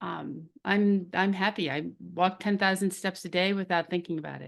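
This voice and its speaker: Vocal fry runs through a woman's medium-pitched voice as she speaks at a moderate pace with fairly even intonation. Her loudness swings widely against a quiet background. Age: 60s. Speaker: drug safety advocate. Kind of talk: interview.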